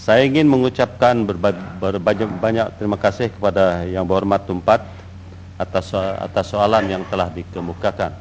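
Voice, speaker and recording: Fairly low in pitch, a man speaks at a moderate pace. His intonation stays fairly even. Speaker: deputy minister. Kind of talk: parliamentary answer. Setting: parliament chamber. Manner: halting.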